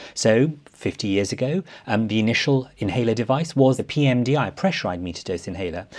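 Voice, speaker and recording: Very fast and with an enthusiastic tone, a man speaks at a medium pitch against a quiet background. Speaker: respiratory medicine professor. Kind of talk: medical education panel discussion.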